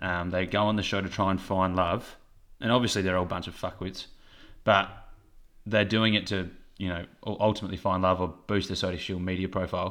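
With an Australian accent and a very deep, low pitch, a man speaks fairly quickly in a monotone, flat way with long, frequent pauses, on a very clean recording with a silent background. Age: 20s. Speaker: podcast co-host. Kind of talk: casual chat.

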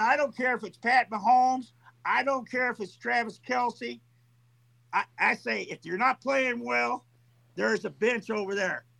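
A man projects a raised voice at an extremely high pitch. His tone is bright and sharp, and his pace is moderate. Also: ordinary pitch variation, dry, close sound with no echo. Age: 60s. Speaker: caller, sports fan. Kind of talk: angry rant. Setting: call-in. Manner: animated, profane.

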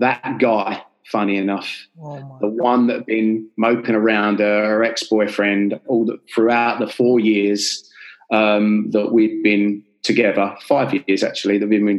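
A man's fairly low, monotone voice with flat intonation at a fairly slow pace, in a London accent. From North London, Enfield. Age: 30s. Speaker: life coach and author. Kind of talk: interview storytelling.

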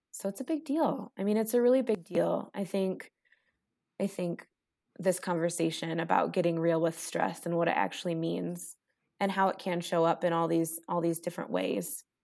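Pitch varies in an ordinary way as an ordinary speaking voice proceeds at a moderate pace. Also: woman, fairly low pitch for a woman. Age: 20s. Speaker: natural health educator. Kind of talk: casual chat. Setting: remote recording at computer.

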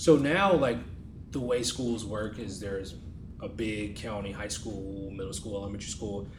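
A man with an American accent, fairly low pitch, ordinary pitch variation, a somewhat breathy voice, moderate pace and big swings in loudness. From New York. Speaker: podcast co-host. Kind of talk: interview panel discussion. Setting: in-person at college campus.

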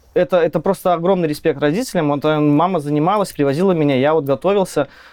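An ordinary speaking voice moves along at a fairly quick pace. Its pitch varies in an ordinary way. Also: man. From Belarus, village near Minsk. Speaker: software tech lead. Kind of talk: casual technical interview. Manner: casual, slangy.

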